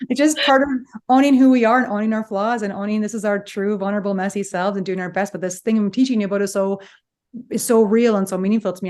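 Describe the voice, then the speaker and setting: Against a quiet background, a woman talks at a very fast pace in an animated tone with ordinary pitch variation. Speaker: psychologist, podcast host. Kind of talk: casual chat.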